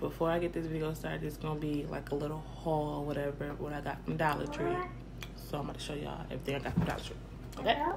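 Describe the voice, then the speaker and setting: The speech moves at a very fast pace. Background noise is noticeable. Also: woman. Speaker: vlogger. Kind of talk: casual vlog chat. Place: kitchen. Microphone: phone near.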